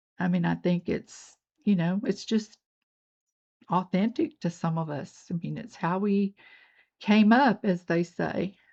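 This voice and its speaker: A woman with an American accent speaks at a fairly slow pace, somewhat breathy and medium in pitch. Her pitch varies in an ordinary way, and she takes long, frequent pauses. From US South, North Georgia. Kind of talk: tutorial. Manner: casual, chatty.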